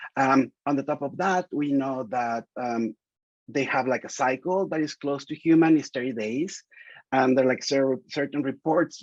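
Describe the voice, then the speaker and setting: A medium-pitched man with a Spanish accent, moderate pace and ordinary pitch variation, in a dry, close sound with no echo. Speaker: reproductive biology researcher. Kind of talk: seminar interview. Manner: halting, many fillers and restarts.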